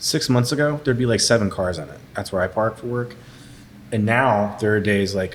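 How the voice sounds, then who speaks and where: A man has an unremarkable speaking voice, fairly low in pitch, with ordinary pitch variation. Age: 30s. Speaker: brewer. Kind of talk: casual chat.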